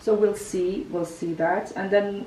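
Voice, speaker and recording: A woman at a moderate pace, fairly even intonation, audible room echo and noticeable background noise. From Kazakhstan. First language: Kazakh. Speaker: lifestyle vlogger. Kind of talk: house tour interview.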